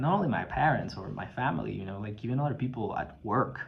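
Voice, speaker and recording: Speaking at a moderate pace, a male voice carries audible room echo. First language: not English. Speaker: video blogger. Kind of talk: personal testimony. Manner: halting, many fillers and repetitions.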